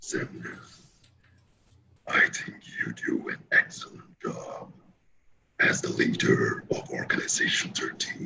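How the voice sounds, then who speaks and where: Putting on a character voice, a man whispers and growls at a fairly slow pace with long, frequent pauses. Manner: respectful, flattering.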